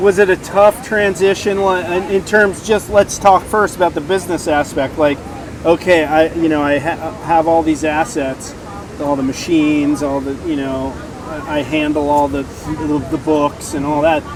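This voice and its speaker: This man, whose voice sits fairly high, keeps a moderate pace and ordinary pitch variation while noticeable background noise plays around him. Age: 60s. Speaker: podcast host. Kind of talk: podcast interview. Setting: outdoor beach event.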